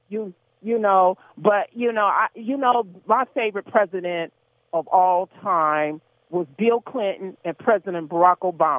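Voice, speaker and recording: A woman's fairly slow delivery carries ordinary pitch variation. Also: medium pitch for a woman. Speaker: radio call-in caller. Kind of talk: radio call-in opinion. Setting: phone call. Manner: halting, hesitant.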